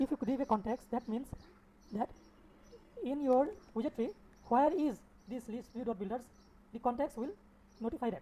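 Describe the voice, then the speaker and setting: With a non-native accent and a dark, mellow tone, a woman speaks at a high pitch with ordinary pitch variation, at a fairly quick pace broken by long, frequent pauses. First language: not English. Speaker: software developer teaching coding. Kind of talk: coding tutorial. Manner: halting, repeats words.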